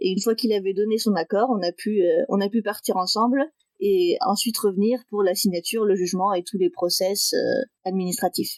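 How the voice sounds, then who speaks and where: A woman at medium pitch and a moderate pace, with ordinary pitch variation and very even loudness. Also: dry, close sound with no echo. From northeastern France (Metz). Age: 20s. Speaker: interview guest sharing adoption story. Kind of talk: podcast interview, personal testimony. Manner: hesitant, many fillers.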